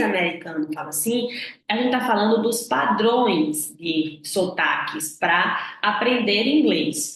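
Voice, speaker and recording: In a northeastern Brazilian accent, a woman of medium pitch speaks at a very slow pace with very wide pitch swings, amid audible room echo and noticeable background noise. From Northeast Brazil. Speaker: English communication coach. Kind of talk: online lesson.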